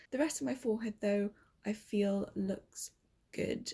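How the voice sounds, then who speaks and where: A woman with a British accent, somewhat breathy, with a dark, mellow tone at a fairly slow pace. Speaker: beauty vlogger. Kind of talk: makeup review vlog. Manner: quiet, talking softly.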